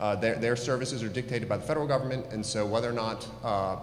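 With audible room echo, a man talks at a fairly low pitch with fairly even intonation. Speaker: attorney advising on redistricting. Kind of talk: formal briefing at public meeting. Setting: public board meeting. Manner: loud.

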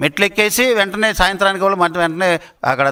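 A man's high, raised and projected voice, bright and sharp in tone, with ordinary pitch variation. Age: 70s. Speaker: politician. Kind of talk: press conference statement. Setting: media briefing.

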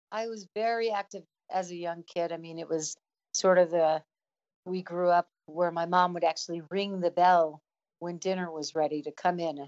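Speaking at a moderate pace with an American accent, a woman with a fairly low pitch shows big swings in loudness. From US, Chicago and New Jersey area. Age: 60s. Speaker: elite ultra-runner and running coach. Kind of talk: podcast interview. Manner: animated.

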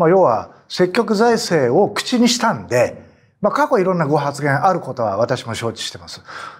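Over a quiet background, a man speaks at a moderate pace in a high pitch, with big swings in loudness and very wide pitch swings. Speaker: former politician. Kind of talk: panel discussion. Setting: studio. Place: studio. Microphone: lapel.

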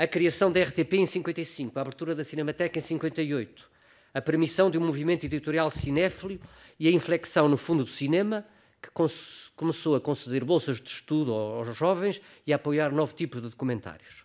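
Against a quiet background, a man speaks at a moderate pace in a fairly high voice with ordinary pitch variation. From Portugal. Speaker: filmmaker and actor; actor. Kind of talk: conference talk. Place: hall. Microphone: podium.

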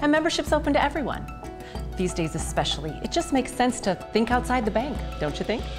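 Against clear music in the background, a woman talks at a very fast pace. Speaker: voice actor. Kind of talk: TV commercial read. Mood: friendly, confiding. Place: kitchen.

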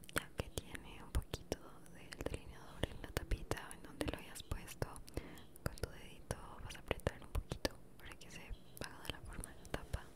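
At a moderate speed, a woman is whispering. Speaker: ASMR creator. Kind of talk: ASMR makeup tutorial. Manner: whispered. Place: home room. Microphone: studio mic.

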